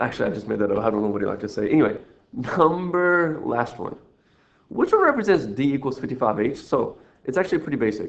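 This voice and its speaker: A man talks at a very fast pace with very wide pitch swings. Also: medium pitch for a man. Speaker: math teacher. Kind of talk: recorded lesson walkthrough. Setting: screen recording. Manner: rambling, playful.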